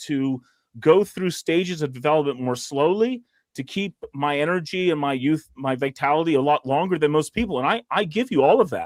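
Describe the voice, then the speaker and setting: A man at a fairly quick pace, dry and close with no echo. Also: very clean recording, silent background. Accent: American. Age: 40s. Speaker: emergency physician. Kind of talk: casual panel discussion. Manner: halting, with many repetitions and fillers.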